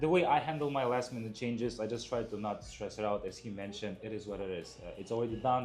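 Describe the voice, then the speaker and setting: A man speaks at a very fast pace with ordinary pitch variation, and the room echo is audible. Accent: non-native. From outside the US. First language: not English. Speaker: truck dispatcher. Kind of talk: casual interview chat.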